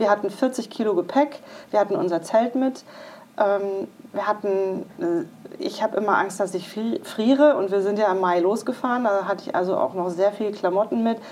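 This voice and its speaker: With a normal speaking voice, this woman holds a medium pitch and keeps a moderate pace. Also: ordinary pitch variation. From western Germany (Iserlohn, Sauerland). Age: 40s. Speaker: career coach and breast cancer survivor. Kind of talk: interview testimony.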